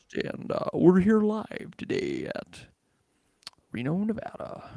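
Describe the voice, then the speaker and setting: A put-on character voice at a fairly high pitch. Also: fairly slow pace. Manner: polished, broadcast.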